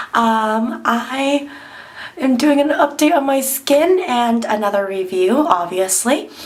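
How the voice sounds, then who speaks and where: A woman speaks very slowly at a high pitch with lively intonation. Audible room echo and noticeable background noise are present. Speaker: beauty vlogger. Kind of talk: tutorial. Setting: bathroom at home. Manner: hesitant, many ums.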